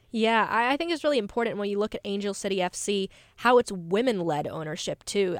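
On a very clean recording with a silent background, a woman with an American accent talks fairly quickly in a normal speaking voice, fairly high in pitch with ordinary pitch variation. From North Carolina. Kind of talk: casual chat. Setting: studio.

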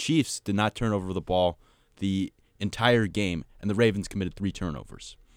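With a normal speaking voice, a man talks at a fairly low pitch and ordinary pitch variation in a dry, close sound with no echo on a very clean recording with a silent background. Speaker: sports podcast co-host. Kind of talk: casual sports discussion.

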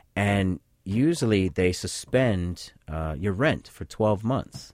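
A man's very deep, low voice, fairly slow in pace, with lively intonation, in a very clean recording over a silent background. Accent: American. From Boston. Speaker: sociology professor. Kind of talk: radio interview. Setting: studio.

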